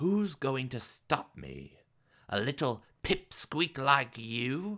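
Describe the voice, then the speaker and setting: Using a put-on character voice at medium pitch, a man talks at a very slow pace with lively intonation, on a very clean recording with a silent background. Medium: read story. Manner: confident, teasing.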